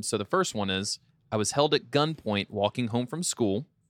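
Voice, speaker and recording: A man with fairly low pitch and ordinary pitch variation talks at a fairly quick pace in an unremarkable speaking voice. The recording is very clean and dry, close with no echo and a silent background. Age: 20s. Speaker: podcast host. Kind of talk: casual chat.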